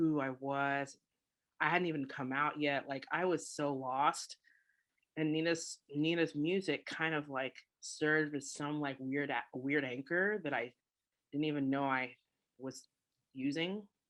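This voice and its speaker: A woman with a General American accent, a very deep, low pitch, fairly even intonation, a fairly slow pace, and long, frequent pauses against a quiet background. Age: 30s. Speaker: musician and educator. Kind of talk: interview conversation.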